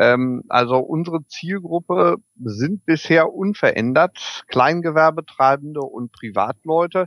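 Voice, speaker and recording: A man at a fairly high pitch, very slow pace and ordinary pitch variation, in a dry, close sound with no echo. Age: 40s. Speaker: electric vehicle equipment entrepreneur. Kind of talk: interview. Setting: video call.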